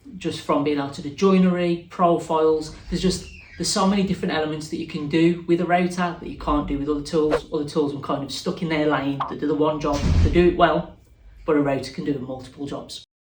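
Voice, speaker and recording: A man talks at a very fast pace with a fairly high pitch and fairly even intonation. There is audible room echo. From Wolverhampton, West Midlands, England. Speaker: woodworker and YouTuber. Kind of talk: interview answers. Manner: casual, conversational.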